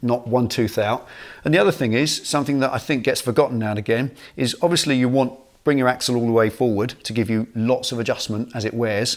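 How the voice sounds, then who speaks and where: A man talks at a very fast pace, his intonation fairly even, with a quiet background behind him. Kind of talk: tutorial. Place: garage.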